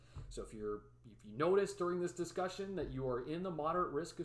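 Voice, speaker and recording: Here is a man with a Midwestern accent. He talks at a fairly quick pace with lively intonation. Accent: Midwest. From Chicago area, US Midwest. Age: 20s. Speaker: weather YouTuber, forecaster. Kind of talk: live stream forecast discussion. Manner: casual, filler words.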